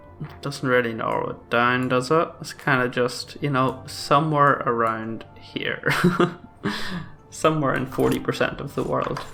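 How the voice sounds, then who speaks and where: A man talks at a fairly slow pace with fairly even intonation. Music plays behind him. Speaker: gaming commentator. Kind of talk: let's play commentary. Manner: hesitant, many filler sounds.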